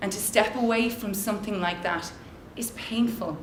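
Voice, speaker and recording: There is noticeable background noise along with audible room echo. Through it, a woman speaks at a moderate pace. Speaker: social entrepreneur and conference speaker. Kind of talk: motivational talk. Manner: loud; animated.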